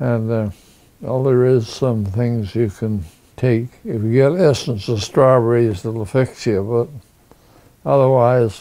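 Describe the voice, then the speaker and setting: A man of medium pitch with a dark, mellow tone, at a very slow pace with ordinary pitch variation. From northern British Columbia, Canada. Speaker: war veteran. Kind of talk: interview. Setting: at home. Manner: halting.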